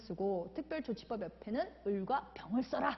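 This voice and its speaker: A woman at a moderate pace. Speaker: law exam lecturer. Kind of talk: lecture.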